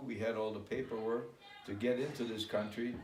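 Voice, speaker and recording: A man speaks at a medium pitch and a moderate pace. Noticeable background noise and audible room echo surround him. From Germany (Hamburg), moved to US Midwest at 10. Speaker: immigrant recounting life story. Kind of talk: interview.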